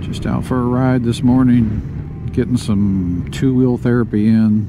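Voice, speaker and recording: A man with an American accent speaks at a fairly slow pace with ordinary pitch variation, with audible room echo and noticeable background noise. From US South. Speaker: motorcycle vlogger. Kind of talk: casual ride vlog narration. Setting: riding a motorcycle outdoors. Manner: heavy breathing; frequent ums.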